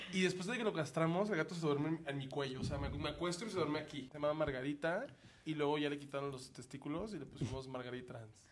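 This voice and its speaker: A man talks very fast at a fairly high pitch, with ordinary pitch variation. Room echo is audible. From Mexico, Sonora (Hermosillo). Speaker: comedian. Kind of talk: casual chat.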